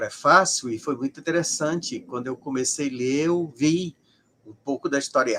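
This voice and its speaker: In a fairly high voice, a man takes his time, talking at a fairly slow pace. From Brazil, Ceará. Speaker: sociologist of religion. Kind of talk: interview. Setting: live stream.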